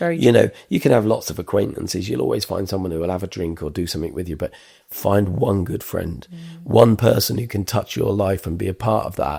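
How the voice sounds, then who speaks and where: A man with a fairly low pitch talks at a fairly quick pace with hardly any pauses. His intonation is lively and his voice somewhat breathy. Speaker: podcast host. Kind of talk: interview question.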